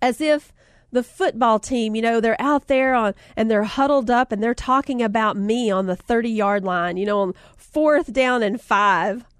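Over a quiet background, a woman with a fairly high pitch speaks in an animated, warm tone at a moderate pace. The sound is dry and close with no echo, and her pitch varies in an ordinary way. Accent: Southern US. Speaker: podcast host and author. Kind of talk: casual chat, encouraging talk. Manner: animated, warm, chatty.

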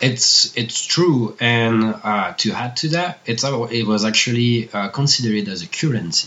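A man speaks with a French accent at a fairly slow pace. He hardly pauses, and background noise is noticeable. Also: medium pitch for a man, ordinary pitch variation. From Annecy, France. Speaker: bakery owner and chocolatier. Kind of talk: interview conversation.

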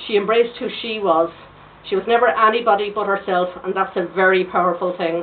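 With an Irish accent, a woman talks at a very fast pace, her medium pitch and intonation fairly even. Noticeable background noise is present. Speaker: political activist. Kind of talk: tribute speech.

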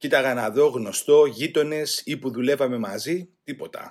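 At a fairly slow pace, a man with a normal speaking voice talks with ordinary pitch variation. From Greece, Attica (Rafina). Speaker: former political prisoner. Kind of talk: testimony.

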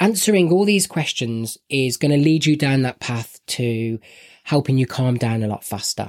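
In a Birmingham accent, a man speaks at a medium pitch and moderate pace with lively intonation. The sound is dry and close, with no echo. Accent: Birmingham (West Midlands) English. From Birmingham, England. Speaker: podcast co-host. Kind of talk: casual chat podcast.

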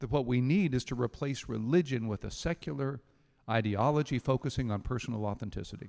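At a fairly quick pace, a man speaks at a medium pitch with a dark, mellow tone. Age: 60s. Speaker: pastor. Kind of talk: sermon.

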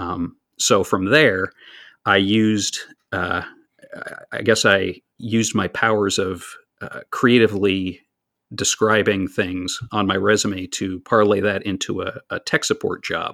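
A man with an American accent talks at a fairly slow pace, his fairly low voice bright and sharp in tone, with fairly even intonation. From US Pennsylvania. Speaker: Twitter user and fan of a radio show. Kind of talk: casual interview chat. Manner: talkative, hesitant with repeated words.

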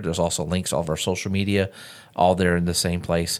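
A man with a Southern US accent at a very fast pace, in a very clean recording with a silent background. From US South. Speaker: podcast host. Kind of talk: casual chat.

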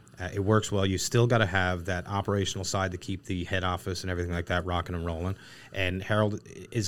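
With a Newfoundland accent, a man talks very fast in a very deep, low voice with fairly even intonation, on a very clean recording with a silent background. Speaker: equipment company co-founder. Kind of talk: casual interview. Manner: talkative.

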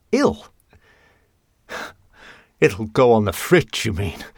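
A put-on character voice with vocal fry and a slightly husky edge moves at a slow pace through very wide pitch swings. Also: man, fairly low pitch for a man.

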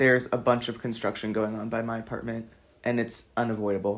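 A man speaks with a Californian accent at a fairly quick pace. The recording is very clean, with a silent background. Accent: Californian American English. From Los Angeles. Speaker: podcaster, university student. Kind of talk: casual monologue. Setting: at home desk. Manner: casual, rambling with fillers.

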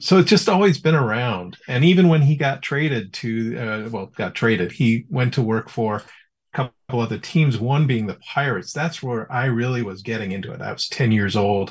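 Against a quiet background, a man with a somewhat breathy, medium-pitched voice speaks at a moderate pace with lively intonation. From Chicago suburbs, US Midwest. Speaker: tech entrepreneur, baseball fan. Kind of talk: casual interview chat. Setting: remote call from his office.

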